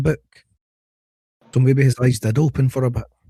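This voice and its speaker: A man's somewhat breathy, dark, mellow voice at medium pitch and a fairly quick pace, with a dry, close sound and no echo. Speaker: podcast host. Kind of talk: casual chat.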